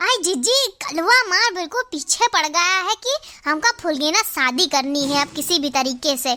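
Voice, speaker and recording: Using a cartoonish character voice, a woman speaks at a moderate pace with an extremely high pitch and very wide pitch swings. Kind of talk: cartoon comic voice acting. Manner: wheedling, flattering.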